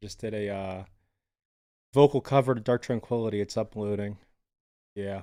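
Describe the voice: On a very clean recording with a silent background, a man with a fairly low pitch speaks at a moderate pace in a clear, smooth, dark and mellow tone, his pitch varying in an ordinary way.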